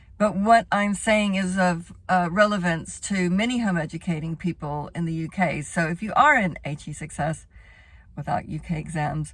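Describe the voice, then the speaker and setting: Somewhat breathy and fairly low in pitch, a woman speaks at a moderate pace with ordinary pitch variation on a very clean recording with a silent background. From Texas. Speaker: home educator and former teacher. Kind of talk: informational talk to camera. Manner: casual, with many fillers.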